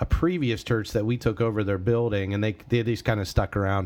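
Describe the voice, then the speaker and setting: A man speaks with an ordinary speaking voice. His pitch is fairly low and his intonation fairly even. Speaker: pastor podcast host. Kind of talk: casual chat.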